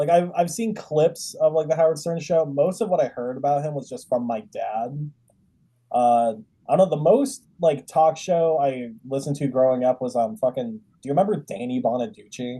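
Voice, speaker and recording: A man's fairly high, somewhat breathy voice with an American accent, a dark, mellow tone, lively intonation and a moderate pace. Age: 20s. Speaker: comedian, podcast host. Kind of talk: casual chat.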